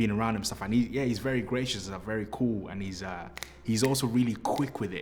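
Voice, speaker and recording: A man with a British accent, fairly low in pitch, with lively intonation and audible room echo. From Britain. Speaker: actor. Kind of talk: interview.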